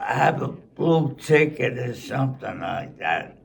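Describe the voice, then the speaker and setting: A man talks with a Brooklyn accent. Noticeable background noise can be heard. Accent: New York (Brooklyn). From Brooklyn, New York. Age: 80s+. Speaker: centenarian sports fan. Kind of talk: interview answer.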